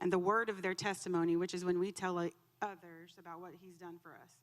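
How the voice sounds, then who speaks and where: A woman speaks loudly. Her intonation is monotone and flat. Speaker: church member giving testimony. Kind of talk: testimony. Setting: church. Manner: emotional.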